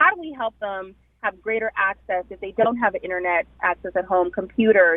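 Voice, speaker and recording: A woman speaks at a moderate pace. She has a slight Jamaican accent. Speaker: hospital recruitment director. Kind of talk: radio interview.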